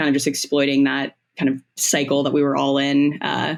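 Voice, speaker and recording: In a very clean recording with a silent background, a woman with an American accent talks at a moderate pace in a very deep, low pitch. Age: 20s. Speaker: comedian. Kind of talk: casual chat.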